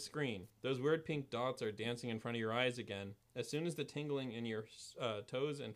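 Pitch moves in an ordinary way as the speaker reads in a natural voice.

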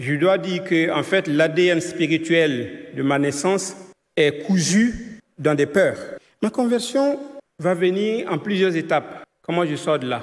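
This man has a high-pitched voice with lively intonation. He talks at a very slow pace. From Ivory Coast. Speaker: church member. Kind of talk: testimony.

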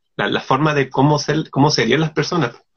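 A man is speaking. His voice shows vocal fry. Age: 30s. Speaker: illustrator and artist. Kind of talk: casual interview.

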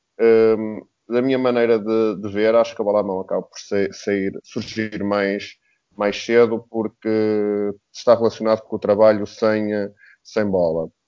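Flat and monotone in intonation, the delivery unfolds fairly slowly. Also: man, fairly low pitch for a man. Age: 30s. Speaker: basketball coach. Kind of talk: casual panel discussion.

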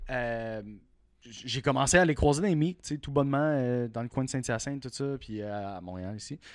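On a very clean recording with a silent background, a man with a Quebec accent speaks at a moderate pace with ordinary pitch variation and big swings in loudness. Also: medium pitch for a man. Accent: Québécois French. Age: 30s. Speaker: car enthusiast. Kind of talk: casual chat.

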